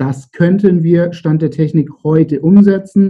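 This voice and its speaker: Somewhat breathy, a man's voice unfolds at a fairly slow pace. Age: 30s. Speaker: entrepreneur. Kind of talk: interview.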